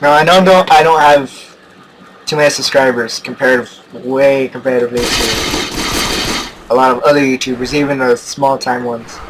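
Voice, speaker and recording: Over noticeable background noise, a man talks at a medium pitch and moderate pace with fairly even intonation. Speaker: gaming YouTuber. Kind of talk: gameplay commentary. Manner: stutters a lot; halting, many fillers.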